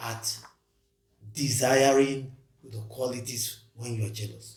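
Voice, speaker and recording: A somewhat breathy man's voice at a fairly slow pace, fairly even in intonation, with audible room echo. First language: not English. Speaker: podcast co-host. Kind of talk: casual discussion.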